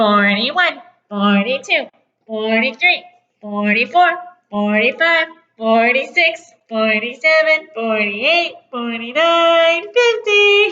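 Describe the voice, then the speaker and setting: Put-on character voice from a woman, high-pitched and nasal, at a fairly slow pace. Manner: counting aloud.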